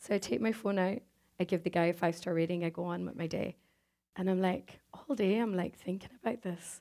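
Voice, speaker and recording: Here a woman talks in a Donegal Irish accent at a fairly quick pace. Her tone is dark and mellow against a quiet background. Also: ordinary pitch variation. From Ireland, Donegal; Ireland. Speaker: conference speaker; speaker. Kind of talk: inspirational talk. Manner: animated. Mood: warm, humorous. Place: stage. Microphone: headset.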